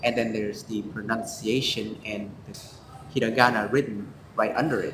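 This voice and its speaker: With a Vietnamese accent, a man speaks at a medium pitch and moderate pace in a monotone, flat delivery, with audible room echo and noticeable background noise. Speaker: student co-host. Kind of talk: casual review chat. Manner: halting, many fillers.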